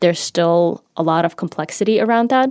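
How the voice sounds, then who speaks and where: A woman speaks very fast in a Ukrainian accent, her pitch fairly low. The recording is very clean, with a silent background. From Ukraine. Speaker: marketing manager in tech. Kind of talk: interview.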